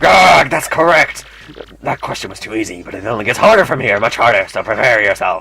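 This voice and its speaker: This is a put-on character voice. It moves at a fairly quick pace. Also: man, medium pitch for a man. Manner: playful quiz host.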